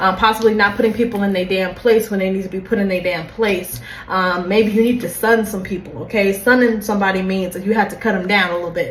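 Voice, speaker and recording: Against noticeable background noise and audible room echo, a woman at medium pitch talks at a very fast pace with hardly any pauses. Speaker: tarot reader. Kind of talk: tarot reading. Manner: animated.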